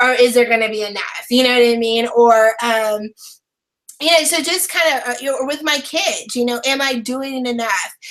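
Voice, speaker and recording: At a moderate pace, a woman talks loudly in a high pitch, her pitch varying in an ordinary way. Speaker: online brand and business strategist. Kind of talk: interview.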